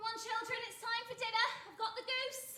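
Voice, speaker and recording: A woman puts on a squeaky, extremely high-pitched character voice, monotone and flat, at a fairly quick pace, with big swings in loudness and slight echo. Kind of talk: comic stage acting. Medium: stage play. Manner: warm, homely, quick to scold.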